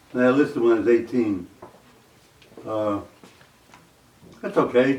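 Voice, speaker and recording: With noticeable background noise behind him, a man talks in an American accent. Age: 80s+. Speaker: war veteran. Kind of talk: oral history interview. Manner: halting, with fillers.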